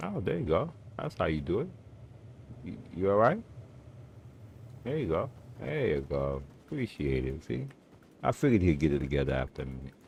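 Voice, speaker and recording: With a very deep, low voice and vocal fry, a man talks at a fairly quick pace with lively intonation and long, frequent pauses. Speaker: gaming streamer. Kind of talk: casual gameplay commentary. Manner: loud.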